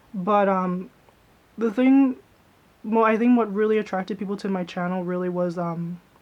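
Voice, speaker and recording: Soft-spoken and with fairly even intonation, a woman talks with long, frequent pauses while music plays in the background. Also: medium pitch for a woman, moderate pace. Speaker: YouTuber, vlogger. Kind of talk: casual vlog chat.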